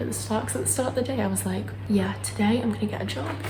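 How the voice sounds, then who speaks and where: Soft-spoken, with a British accent, this voice carries audible room echo and noticeable background noise. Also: woman. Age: 20s. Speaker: vlogger. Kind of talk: casual vlog monologue. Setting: indoors at home, kitchen. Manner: low-key.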